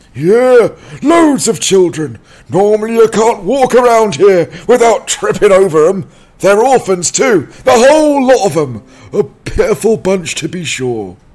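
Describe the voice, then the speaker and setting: Shouting at a moderate pace, a man pushes his high pitch through very wide swings. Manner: surly, hostile, shouting.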